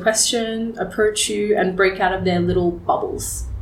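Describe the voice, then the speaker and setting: A woman with an Australian accent speaks at a medium pitch in a monotone, flat intonation and at a moderate pace, with noticeable background noise and audible room echo. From Australia, rural Victoria and Geelong. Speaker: fashion entrepreneur. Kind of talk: interview conversation. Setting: studio.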